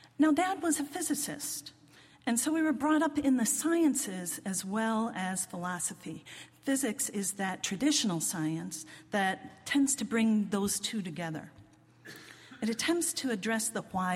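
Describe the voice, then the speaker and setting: A woman with a General American accent speaks at a fairly slow pace in a fairly high, somewhat breathy voice with very wide pitch swings. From US, northern Virginia (Washington DC suburbs). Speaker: lay preacher. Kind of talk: sermon.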